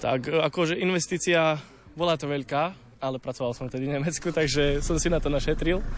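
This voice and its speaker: Here is a normal speaking voice from a man, pitched fairly high. He talks at a fairly quick pace with fairly even intonation. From Slovakia, Čierny Balog area. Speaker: amateur accordion player. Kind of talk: interview.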